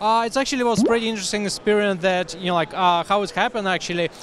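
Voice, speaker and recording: This man has a high-pitched voice with ordinary pitch variation. The sound is dry with no echo, and there is light background noise. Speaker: interviewee. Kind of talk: interview answer. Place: hall. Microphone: handheld.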